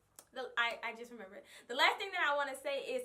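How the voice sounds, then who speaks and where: A woman speaks very fast in a raised, projected voice, high-pitched with very wide pitch swings and a bright, sharp tone. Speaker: vlogger and hair stylist. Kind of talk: casual vlog talk. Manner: loud; animated.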